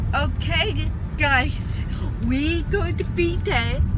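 Loud noise behind a woman's dry voice, free of any echo. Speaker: vlogger. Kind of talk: casual vlog chat.

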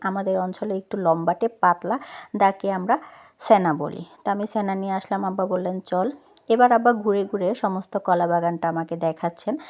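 A woman's medium-pitched voice, dark and mellow in tone, with ordinary variation in pitch. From Noakhali, Bangladesh. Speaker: vlogger. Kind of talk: vlog narration.

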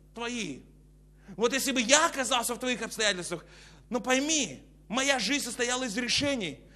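A man's raised, projected voice, animated in tone, broken by long, frequent pauses. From Kazakhstan. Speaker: preacher. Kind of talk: sermon. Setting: church. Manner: preacherly, exhorting. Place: hall. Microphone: lapel.

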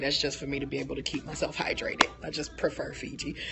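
Over noticeable background noise, a woman with a very deep, low pitch speaks at a very fast pace in an animated tone. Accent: American. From Detroit, US Midwest. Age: 30s. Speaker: vlogger. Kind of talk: vlog narration with tasting commentary. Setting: outdoors walking, then at a winery. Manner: animated, laughs often. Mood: cheerful, enthusiastic. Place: bar. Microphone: phone near.

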